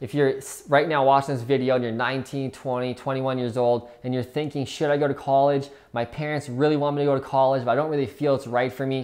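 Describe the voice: A fast-paced man with medium pitch, a slightly mellow tone, little pitch movement and few pauses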